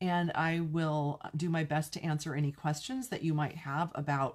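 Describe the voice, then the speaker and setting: A woman talks at a fairly slow pace. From California (Pasadena), US West Coast. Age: 60s. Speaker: craft demonstrator and video host. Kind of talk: casual live-stream Q&A chat. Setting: live stream to online viewers. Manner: chatty, warm, informal.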